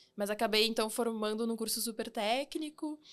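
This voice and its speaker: A woman with a plain, everyday voice at a moderate pace, on a very clean recording with a silent background. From southern Brazil (Rio Grande do Sul, Santa Rosa). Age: 30s. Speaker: engineer and fintech founder. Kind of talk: podcast interview.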